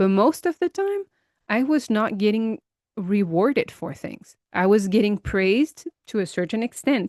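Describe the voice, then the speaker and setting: In a dry, close sound with no echo and a quiet background, a woman with an unremarkable speaking voice talks at a moderate pace and a fairly high pitch. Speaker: empowerment coach for high achieving women. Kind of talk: personal reflection podcast to camera. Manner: conversational, reflective, with frequent fillers.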